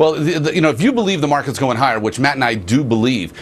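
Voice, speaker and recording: A man is heard over light background noise. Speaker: wealth manager. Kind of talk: TV interview. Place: studio. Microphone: lapel.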